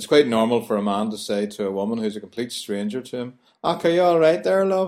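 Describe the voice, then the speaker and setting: Very fast speech from a man with a Belfast accent, medium in pitch with very wide pitch swings, on a very clean recording with a silent background. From Northern Ireland, Belfast. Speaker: language tutor. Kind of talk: scripted narration.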